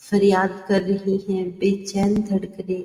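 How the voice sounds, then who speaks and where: Her dark, mellow tone, medium pitch and somewhat breathy sound come with a monotone, flat intonation as this woman speaks. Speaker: poet and voice artist. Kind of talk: poetry reading. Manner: expressive.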